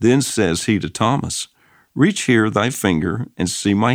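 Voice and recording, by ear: A quiet background behind someone reading aloud in a natural voice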